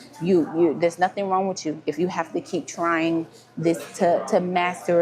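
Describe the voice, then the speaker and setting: Moderate-paced talking with noticeable background noise behind it. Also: woman. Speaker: life coach. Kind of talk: motivational talk. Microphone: no microphone on, device mic.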